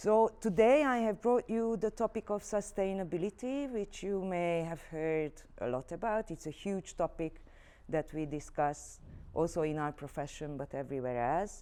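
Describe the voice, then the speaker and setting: A woman with a Hungarian accent, a dark, mellow tone, a medium pitch and very wide pitch swings. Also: moderate pace, very clean recording, silent background. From Hungary, Budapest. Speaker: arts director and career trainer. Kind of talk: workshop instructions to students.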